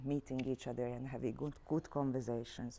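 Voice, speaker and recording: A woman with a Hungarian accent and a dark, mellow tone. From Hungary, Budapest. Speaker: arts director and career trainer. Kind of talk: workshop instructions to students.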